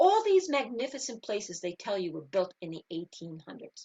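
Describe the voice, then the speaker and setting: A woman speaks with a New York accent. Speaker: spiritual teacher and engineer. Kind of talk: interview. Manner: animated.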